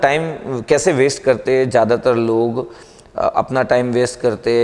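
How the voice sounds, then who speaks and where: A man speaks over noticeable background noise. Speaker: motivational speaker and teacher. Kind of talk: motivational talk to camera.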